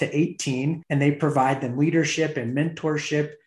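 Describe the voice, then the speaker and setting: A somewhat breathy male voice with monotone, flat intonation. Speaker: podcast host. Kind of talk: interview.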